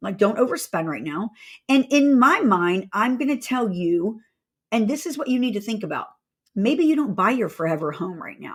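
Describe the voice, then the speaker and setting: An animated, somewhat breathy voice with an American accent moves at a moderate pace, with very wide pitch swings and big swings in loudness. The recording is very clean, with a silent background. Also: woman, fairly high pitch for a woman. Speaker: real estate agent and company owner. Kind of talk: casual market update vlog.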